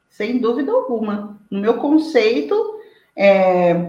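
A woman speaks with very wide pitch swings. Audible room echo surrounds her voice. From Brazil, interior of São Paulo state (Araraquara). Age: 40s. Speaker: lawyer and social media commentator. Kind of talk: interview.

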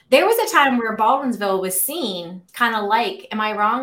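This woman, with an American accent, has an animated tone, a fairly high pitch and ordinary pitch variation. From Pittsburgh, western Pennsylvania. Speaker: community podcast host. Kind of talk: casual interview. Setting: video call.

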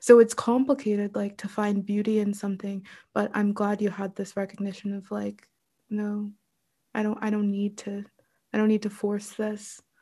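A woman speaks at a moderate pace and medium pitch, somewhat breathy and with a dark, mellow tone. Her intonation is monotone and flat on a very clean recording with a silent background. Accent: American. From Pittsburgh, Pennsylvania, US. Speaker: writer and spiritual teacher. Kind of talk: interview conversation. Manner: hesitant, many fillers.

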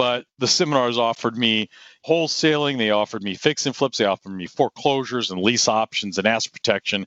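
A man with an unremarkable speaking voice talks at a fairly quick pace, his pitch medium with ordinary variation. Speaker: real estate investor and martial arts school owner. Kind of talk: interview.

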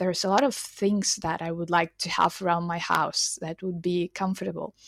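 A woman with a Ukrainian accent speaks at a fairly low pitch, recorded with a dry, close sound and no echo. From Ukraine, Lviv. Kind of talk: interview. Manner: halting, many fillers.

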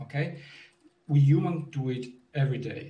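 Speaking at a fairly slow pace, a man with an Italian accent has a fairly high pitch and a somewhat breathy voice. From Italy. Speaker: language technology researcher. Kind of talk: panel discussion. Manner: halting, many disfluencies.

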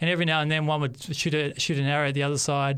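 With an Australian accent, a man talks at a very fast pace. His pitch is fairly high. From Australia, Western Sydney. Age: 30s. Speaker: pastor. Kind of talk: testimony. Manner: halting.

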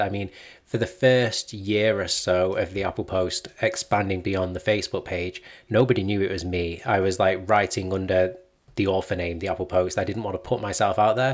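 An unremarkable speaking voice from a man, fairly low in pitch, fairly quick, with fairly even intonation on a very clean recording with a silent background. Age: 20s. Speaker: Apple news blogger and journalist. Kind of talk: casual interview chat.

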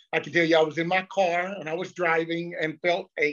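Here a man with a Southern US accent speaks at a moderate pace. His pitch is high and his intonation flat and monotone. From US South, North Carolina (Lexington). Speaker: pastor. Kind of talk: casual chat.

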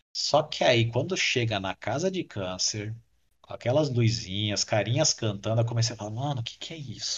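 This man's voice sits at a medium pitch and is somewhat breathy. He keeps a moderate pace, and his pitch varies in an ordinary way. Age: 30s. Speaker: podcast listener and former podcaster. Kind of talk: casual chat.

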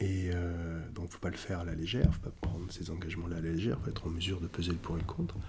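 Very fast and with hardly any pauses, a man speaks in a very deep, low pitch with a dark, mellow tone, somewhat breathy and fairly even in intonation, amid audible room echo. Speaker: kung fu teacher and China specialist. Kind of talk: casual interview.

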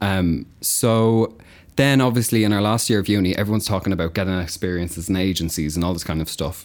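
This man talks very fast with an Irish accent. His pitch is fairly low, with ordinary variation. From Ireland, County Kildare. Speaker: agency worker in marketing. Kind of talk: casual chat. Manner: giggly.

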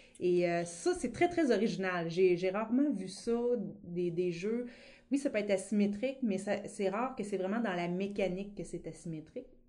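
A woman with a rural Quebec accent, medium pitch, ordinary pitch variation and a moderate pace. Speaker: board game event coordinator. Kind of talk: casual interview. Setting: studio.

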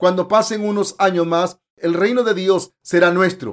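The man's pitch is high, his intonation fairly even. He moves at a fairly slow pace. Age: 50s. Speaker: preacher. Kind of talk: sermon. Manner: formal.

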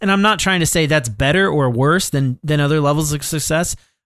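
With lively intonation, a man speaks at a fairly high pitch in a plain, everyday voice. The background is quiet. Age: 30s. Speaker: podcast co-host. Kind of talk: casual chat.

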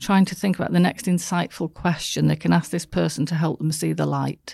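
A woman's warm-toned voice with a slight northern English accent, very clean recording, silent background. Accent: northern English, soft. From northern England. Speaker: business coach and speaker. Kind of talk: casual interview chat. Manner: warm, laughs often.

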